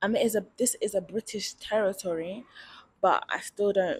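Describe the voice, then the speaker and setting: In a London accent, a woman speaks at a moderate pace, somewhat breathy, with ordinary pitch variation. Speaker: vlogger. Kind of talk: casual vlog monologue. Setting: outdoors at night. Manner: casual, chatty.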